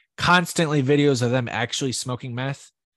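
A man with a plain, everyday voice and an American accent talks at a moderate pace with ordinary pitch variation, in a dry, close sound with no echo against a quiet background. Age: 30s. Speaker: artist. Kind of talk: casual interview.

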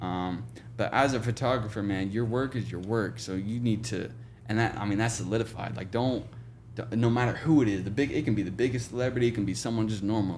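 A man with fairly even intonation speaks at a fairly quick pace, and audible room echo surrounds him. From Oklahoma, small town near Tulsa. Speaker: photographer. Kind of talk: casual interview chat.

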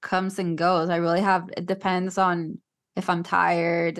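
With a slight Puerto Rican accent, a woman speaks at a fairly low pitch against a quiet background. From Puerto Rico. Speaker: actress and TikTok content creator. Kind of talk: casual podcast interview. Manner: nervous.

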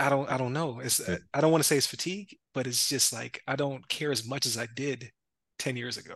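This man has an ordinary speaking voice, medium in pitch, with ordinary pitch variation and a fairly quick pace. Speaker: podcast host. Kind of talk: interview. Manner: casual, laughs often.

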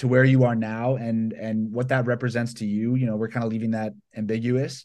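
A man with an American accent speaks at a moderate pace in a plain, everyday voice. His pitch sits in the middle, the intonation is fairly even, and the background is quiet. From US South, Georgia (Atlanta). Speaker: violinist and hip-hop producer. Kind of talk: interview. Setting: home studio (bedroom).

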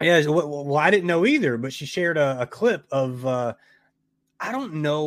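An unremarkable speaking voice at a moderate pace, on a very clean recording with a silent background. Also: man. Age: 40s. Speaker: horror podcast host. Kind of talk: casual interview chat.

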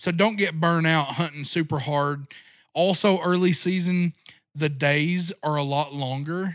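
A man with an American accent and a plain, everyday voice, fairly high in pitch, with fairly even intonation and a fairly slow pace. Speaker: deer hunting guide and outdoor media creator. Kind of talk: casual interview.

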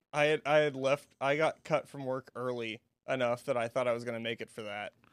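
A plain, everyday voice in a dry, close sound with no echo. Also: man. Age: 20s. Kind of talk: casual chat. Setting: studio.

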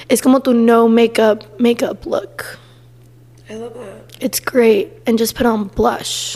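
Soft-spoken and very slow, a woman with a fairly high pitch keeps her intonation fairly even while her loudness swings widely, with noticeable background noise behind her. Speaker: podcast co-host. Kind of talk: casual chat. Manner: quiet, speaking very softly.

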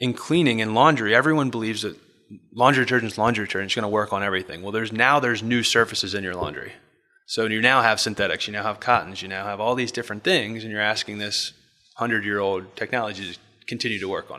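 Very fast speech from a man at a medium pitch, with ordinary pitch variation and big swings in loudness. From Maryland, US (Bel Air). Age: 30s. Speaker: pro lacrosse player and entrepreneur. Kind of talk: casual interview. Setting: office.

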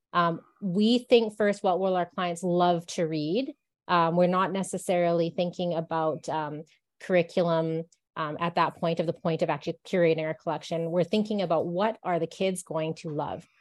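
Against a quiet background, a woman with a fairly low pitch speaks with fairly even intonation. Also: moderate pace. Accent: western Canadian. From Canadian Rocky Mountains. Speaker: bookseller. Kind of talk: interview.

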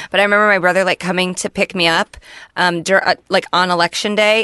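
In a dry, close sound with no echo, a woman with a fairly low pitch and a bright, sharp tone talks at a very fast pace. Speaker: podcast co-host. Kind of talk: casual chat. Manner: casual and expletive-laden.

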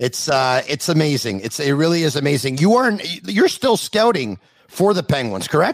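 The voice moves at a moderate pace with big pitch swings. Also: man, fairly high pitch for a man.

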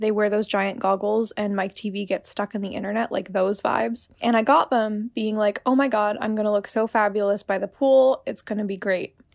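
The speaker has an ordinary speaking voice with fairly even intonation. The recording is very clean, with a silent background. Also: woman. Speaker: podcast listener. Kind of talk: recorded voice message anecdote.

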